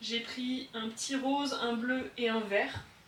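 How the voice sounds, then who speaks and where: A woman's fairly high voice with fairly even intonation amid noticeable background noise. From southern France. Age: 20s. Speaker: hobby potter. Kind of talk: casual studio tour talk to camera. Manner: calm.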